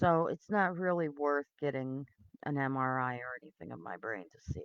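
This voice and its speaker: A woman mumbles at a fairly slow pace in a very deep, low pitch. The sound is dry and close, with no echo. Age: 50s. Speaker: video blogger. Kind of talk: personal testimony. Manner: mumbling; halting.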